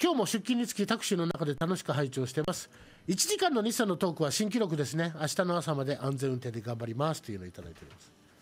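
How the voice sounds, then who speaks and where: This man speaks at a very fast pace with a fairly high pitch, very wide pitch swings and big swings in loudness. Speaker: live streaming radio host. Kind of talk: casual chat. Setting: live stream. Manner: talkative, chatty. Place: studio. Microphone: studio mic.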